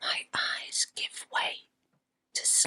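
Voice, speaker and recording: A woman is whispering. The sound is dry and close, with no echo. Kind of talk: ASMR true ghost story narration. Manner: whispered.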